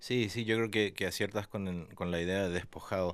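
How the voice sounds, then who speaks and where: A man's fairly low, flat, monotone voice on a very clean recording with a silent background. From Argentina. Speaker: writer. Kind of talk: interview. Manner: halting, with many fillers.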